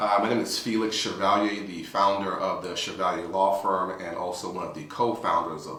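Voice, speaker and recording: The voice moves at a fairly quick pace with hardly any pauses and fairly even intonation. Loudness swings widely, over noticeable background noise. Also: man. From New York. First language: Spanish. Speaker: attorney. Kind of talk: interview. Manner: hesitant with fillers.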